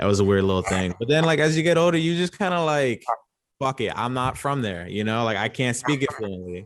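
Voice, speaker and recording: Against a quiet background, a medium-pitched man with a New York accent swings his pitch very widely. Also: fairly quick pace. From Long Island, New York. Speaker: podcast guest. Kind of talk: casual chat.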